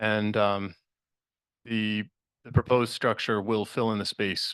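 At a moderate pace, a man with a fairly low pitch talks in a monotone, flat intonation with long, frequent pauses, and the sound is dry and close with no echo. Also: quiet background. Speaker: resident speaking at public hearing. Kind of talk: public comment at a town meeting. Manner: halting, many fillers.

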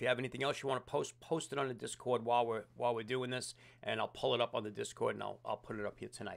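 The speech comes at a very fast pace with vocal fry. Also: man. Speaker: livestream host. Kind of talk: casual livestream chat. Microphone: studio mic.

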